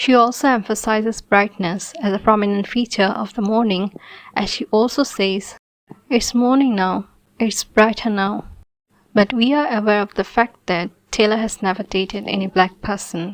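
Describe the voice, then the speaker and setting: With fairly even intonation, a woman talks at a moderate pace in a fairly high pitch. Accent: non-native. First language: not English (English is third language). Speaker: video commentator. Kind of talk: scripted commentary video.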